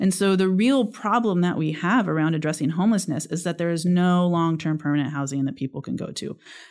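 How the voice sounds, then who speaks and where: A woman with a Californian accent speaks at a fairly quick pace with hardly any pauses. Her pitch is fairly low with ordinary variation, on a very clean recording with a silent background. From California, Sierra foothills (Sonora). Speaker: state politician. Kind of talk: interview.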